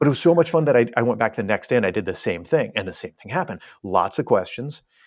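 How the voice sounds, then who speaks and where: The man talks at a very fast pace with a medium pitch. His pitch swings very widely. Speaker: cruise website founder. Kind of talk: podcast interview.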